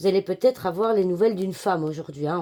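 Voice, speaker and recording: A woman speaks at a medium pitch with a dark, mellow tone. Her pitch varies in an ordinary way. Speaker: card reader / fortune teller. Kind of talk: daily card reading. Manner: hesitant, many filler sounds.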